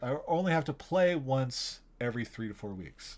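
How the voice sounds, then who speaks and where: This man talks at a moderate pace in a medium pitch with lively intonation. The recording is very clean, with a silent background. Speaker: game master running a podcast game. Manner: rambling, conversational.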